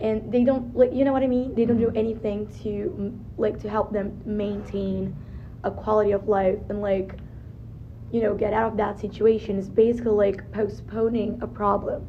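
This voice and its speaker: A woman's fairly high voice, marked by vocal fry, moves at a moderate pace with monotone, flat intonation. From Brazil. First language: Portuguese. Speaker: student interviewee. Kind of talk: casual interview. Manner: halting.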